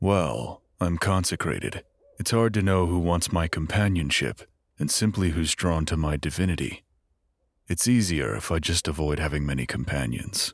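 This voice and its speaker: A man talks at a moderate pace in a put-on character voice. His pitch is very deep and low. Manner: hesitant.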